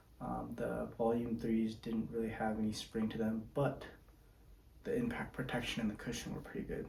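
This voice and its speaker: Quiet speech at a moderate pace carries audible room echo. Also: man. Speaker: volleyball player and shoe reviewer. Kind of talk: product review monologue. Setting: home at night, others asleep. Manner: speaking quietly; casual, with fillers.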